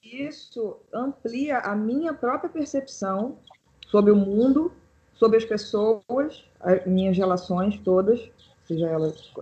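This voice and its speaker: Very slowly, a woman speaks in a somewhat breathy, fairly high voice with a dark, mellow tone and very wide pitch swings. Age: 30s. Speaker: pianist and composer. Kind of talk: casual chat.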